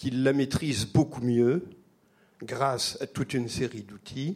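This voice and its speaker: A man of medium pitch at a very slow pace, with ordinary pitch variation. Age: old. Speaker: audience member. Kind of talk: audience question. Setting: stage with live audience.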